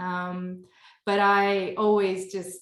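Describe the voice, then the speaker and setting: The speaker is a woman. She talks in an American accent. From northern California, US. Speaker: nutrition business founder. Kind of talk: podcast interview. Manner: casual, many fillers and restarts.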